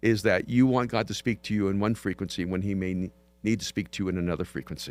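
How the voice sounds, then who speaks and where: The speech moves at a very fast pace with ordinary pitch variation, in a very clean recording with a silent background. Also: man, fairly low pitch for a man. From El Salvador. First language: Spanish. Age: 60s. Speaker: pastor and author. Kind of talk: podcast interview.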